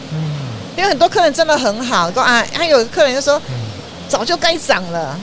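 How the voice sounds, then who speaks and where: Over noticeable background noise, a woman with a high voice and very wide pitch swings talks at a moderate pace, pausing often and at length. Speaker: snack stall owner, retired educator. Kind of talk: interview. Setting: at a food stall on location.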